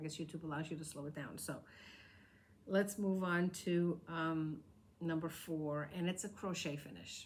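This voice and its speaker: With an American accent, a woman speaks in a fairly low pitch with fairly even intonation and audible room echo. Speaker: crafting podcaster. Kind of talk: casual show-and-tell vlog. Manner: fast.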